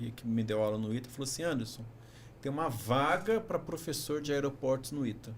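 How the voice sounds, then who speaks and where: This man's voice is fairly high and somewhat breathy. He talks at a moderate pace. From Brazil, São Paulo. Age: 50s. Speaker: engineering professor, former university rector. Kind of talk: podcast interview.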